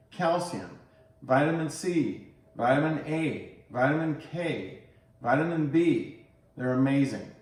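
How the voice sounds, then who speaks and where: There's audible room echo, and the pitch varies in an ordinary way. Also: man. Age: 60s. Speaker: health and fitness vlogger. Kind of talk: tutorial.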